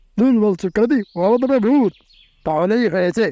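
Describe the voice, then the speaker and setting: A cartoonish character voice, fairly high in pitch, moves along at a moderate pace. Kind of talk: comic overacting. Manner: fearful, wailing.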